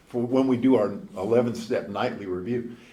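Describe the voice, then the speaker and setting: A man with an American accent at medium pitch and moderate pace, with audible room echo and noticeable background noise. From northern US. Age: 70s. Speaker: former TV news anchor, recovering alcoholic. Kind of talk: recovery speaker talk. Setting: convention stage with audience. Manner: conversational.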